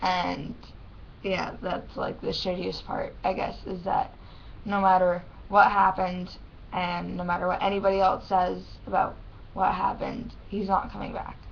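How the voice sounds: A woman's fairly low voice with vocal fry, a fairly slow pace and little pitch movement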